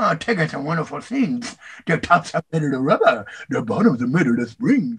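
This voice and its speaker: A man's put-on character voice, fairly high, at a fairly quick pace with very wide pitch swings. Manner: bouncy, exuberant.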